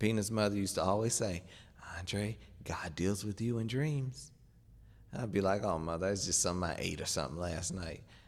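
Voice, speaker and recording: With audible room echo, a man talks at a fairly quick pace in a fairly low pitch with ordinary pitch variation. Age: 30s. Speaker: preacher. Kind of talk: sermon.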